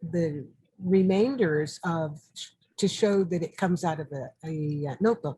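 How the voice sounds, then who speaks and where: With an American accent, a woman speaks very slowly in a fairly low, dark, mellow, somewhat breathy voice with ordinary pitch variation. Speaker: artist and historian. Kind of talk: interview. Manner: halting.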